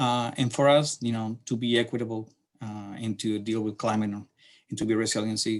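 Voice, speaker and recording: On a very clean recording with a silent background, a man with a Chilean accent speaks at a medium pitch and moderate pace in a monotone, flat intonation. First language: Spanish. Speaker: city transportation planner. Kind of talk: lecture. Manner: halting.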